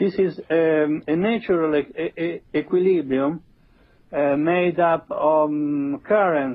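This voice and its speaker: Speaking at a very slow pace in an Italian accent, a man uses a fairly high pitch with ordinary pitch variation. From Italy. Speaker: theoretical physicist. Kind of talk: interview. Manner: halting, many fillers.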